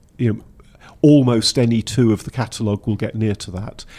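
Speaking in a Welsh accent, a man uses a medium pitch with fairly even intonation and a dark, mellow tone. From Wales. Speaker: engineering institution technical director. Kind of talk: interview.

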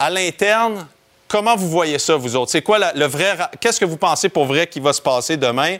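This is a man's voice. His pitch is high. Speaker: football analyst. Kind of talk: sports talk.

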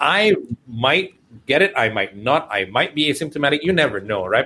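The voice has vocal fry and swings very widely in pitch. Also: man. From Malaysia. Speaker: radio and TV host, entrepreneur. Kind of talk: casual radio interview. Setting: video call with lagging connection.

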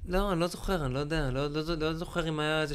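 Over noticeable background noise, a man talks at a very fast pace. His pitch is fairly high. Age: 40s. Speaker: actor and corporate lecturer. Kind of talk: casual chat. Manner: animated.

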